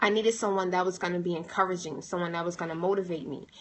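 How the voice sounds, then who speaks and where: Medium-pitched woman's voice with monotone, flat intonation. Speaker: motivational speaker. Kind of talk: livestream monologue. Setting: livestream.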